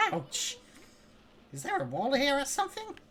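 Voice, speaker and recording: A put-on character voice, high-pitched, at a moderate pace. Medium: game stream. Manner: brash, boastful.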